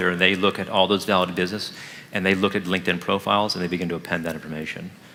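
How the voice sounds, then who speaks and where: Over noticeable background noise, a man with a very deep, low pitch speaks very fast in a monotone, flat intonation. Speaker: marketing executive. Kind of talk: live product demo talk with Q&A.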